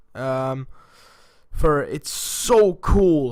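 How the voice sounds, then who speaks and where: Speaking with a non-native accent, a man has a fairly high-pitched voice. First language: not English. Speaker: gaming YouTuber. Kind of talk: casual video monologue. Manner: halting.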